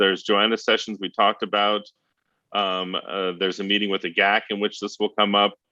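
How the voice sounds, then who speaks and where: Against a quiet background, a man with a fairly low voice and a bright, sharp tone talks at a fairly quick pace. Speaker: internet policy advocacy leader. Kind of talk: briefing presentation. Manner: fast.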